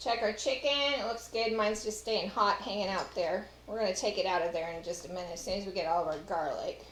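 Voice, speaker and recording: A woman's medium-pitched voice at a very fast pace with ordinary pitch variation, amid audible room echo and noticeable background noise. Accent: Texas. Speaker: home cook and former caterer. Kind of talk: cooking tutorial. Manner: casual, chatty.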